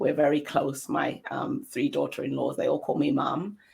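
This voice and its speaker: A woman with an English accent. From London, England. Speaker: interview guest. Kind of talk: casual interview.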